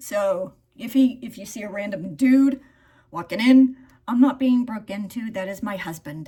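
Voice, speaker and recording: A woman's animated, fairly high voice at a moderate pace, with ordinary pitch variation and big swings in loudness. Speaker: beauty vlogger. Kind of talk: get-ready-with-me vlog.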